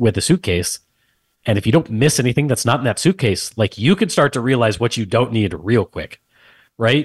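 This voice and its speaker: Somewhat breathy speech with an American accent comes through a dry, close sound with no echo against a quiet background. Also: man. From Texas, San Antonio. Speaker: tech company founder and CEO, army veteran. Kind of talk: casual interview chat.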